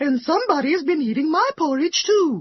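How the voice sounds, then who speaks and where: The speaker puts on a character voice with a high pitch. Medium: read story.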